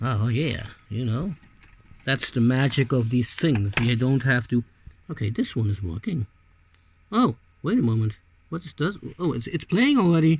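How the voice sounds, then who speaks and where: A man talks in an animated tone with a non-native accent. His voice is somewhat breathy and swings very widely in pitch. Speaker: hobbyist video maker. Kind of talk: casual hands-on tutorial. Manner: halting, hesitant; animated exclamations.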